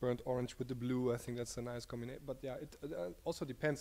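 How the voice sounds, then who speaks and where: A man with a German accent speaks at a fairly quick pace in a monotone, flat intonation. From Germany. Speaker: designer. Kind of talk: casual interview.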